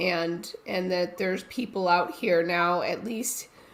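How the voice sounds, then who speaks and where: Here a woman is speaking. Her pitch sits in the medium range. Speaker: domestic violence survivor and advocate. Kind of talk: panel discussion testimony. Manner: halting, repeats words.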